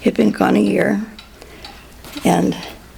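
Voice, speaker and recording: Over noticeable background noise, a woman in an American accent speaks at a moderate pace. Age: 90s. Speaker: interviewee in family oral history. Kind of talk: oral history interview. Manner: halting.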